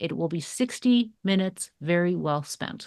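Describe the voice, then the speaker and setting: A woman with a Canadian accent, a plain, everyday voice, a moderate pace and ordinary pitch variation. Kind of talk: business pitch.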